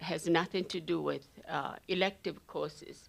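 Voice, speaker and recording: At a very slow pace, a woman with a non-native accent speaks in a very clean recording with a silent background. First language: not English. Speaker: nurse being honored. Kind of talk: personal testimony.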